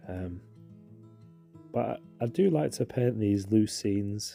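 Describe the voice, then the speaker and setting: A man with a British accent has fairly low pitch and a dark, mellow tone. The recording is very clean, with a silent background and a dry, close sound with no echo. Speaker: watercolour painting instructor. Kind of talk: tutorial. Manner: casual, hesitant with fillers.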